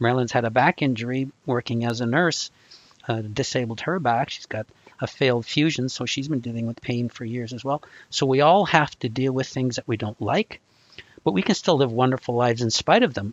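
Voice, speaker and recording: In an unremarkable speaking voice, a man moves along at a fairly quick pace. He holds a medium pitch and varies it in an ordinary way. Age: 60s. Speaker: anxiety recovery coach. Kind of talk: live video call discussion. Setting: video call.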